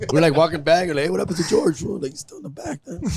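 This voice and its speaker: Over noticeable background noise, a man with a fairly high pitch speaks in an animated tone with an American accent. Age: 40s. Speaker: comedian. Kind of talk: casual chat.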